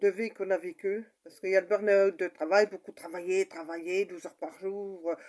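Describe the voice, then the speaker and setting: A woman speaks in a dark, mellow tone. Her pitch sits in the medium range. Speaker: mother sharing personal story. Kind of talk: personal testimony. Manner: halting, many fillers.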